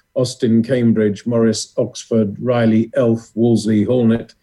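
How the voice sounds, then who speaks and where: A man with a British accent speaks at a medium pitch in a dark, mellow tone. His pace is moderate and his intonation flat and monotone. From England. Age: 50s. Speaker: former motorsport journalist and communications director. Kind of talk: interview.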